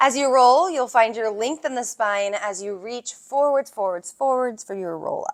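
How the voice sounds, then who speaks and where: Putting on a strained character voice, a woman speaks at a high pitch and moderate pace with lively intonation and hardly any pauses. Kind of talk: calm instructor cueing a Pilates move. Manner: strained, effortful speech while doing the exercise.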